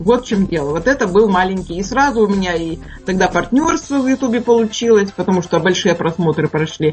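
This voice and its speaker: With music in the background, a woman speaks at a fairly quick pace in a medium pitch and lively intonation. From Urals, Russia. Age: 60s. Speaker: cooking video blogger and chef. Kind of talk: radio interview.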